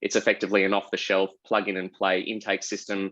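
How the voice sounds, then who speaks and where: Against a quiet background, a man with an Australian accent speaks at a fairly quick pace and fairly low pitch, the sound dry and close with no echo. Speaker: lawyer and tech executive. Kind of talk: panel discussion. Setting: online video panel.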